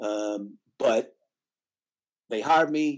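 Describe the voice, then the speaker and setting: A man speaks with a Tennessee accent. His pitch variation is ordinary. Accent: Southern US (Tennessee). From Nashville, Tennessee. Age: 60s. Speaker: music booking agent. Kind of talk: interview conversation.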